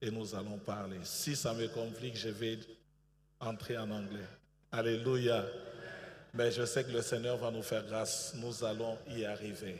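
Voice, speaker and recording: In a room with audible echo, a somewhat breathy man of medium pitch speaks very slowly with fairly even intonation and long, frequent pauses. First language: bilingual French and English (speaking French). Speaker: pastor. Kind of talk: sermon. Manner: hesitant, many fillers.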